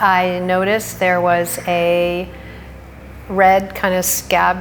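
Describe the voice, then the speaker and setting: Music plays in the background of the recording, which has audible room echo. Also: woman. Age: 60s. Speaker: cancer patient. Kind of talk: testimony.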